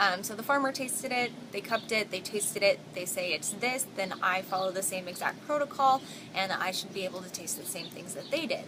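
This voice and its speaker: A woman's medium-pitched, lively speech at a fairly quick pace, with hardly any pauses, big swings in loudness and noticeable background noise. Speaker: barista and vlogger. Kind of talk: vlog.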